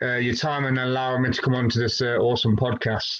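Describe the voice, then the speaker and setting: A man with a British accent talks very fast at medium pitch. Audible room echo surrounds his voice. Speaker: fitness coach. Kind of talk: casual interview.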